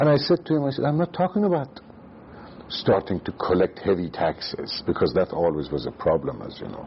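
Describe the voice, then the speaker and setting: Noticeable background noise is present. Over it, a man speaks at a fairly quick pace. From Iran, Tehran. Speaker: former central banker and economist. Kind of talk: oral history interview. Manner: halting.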